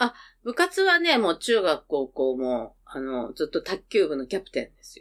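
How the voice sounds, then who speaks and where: A woman speaks at a moderate pace with big swings in loudness, in a very clean recording with a silent background. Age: 50s. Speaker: podcast guest, mother of co-host. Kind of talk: casual chat.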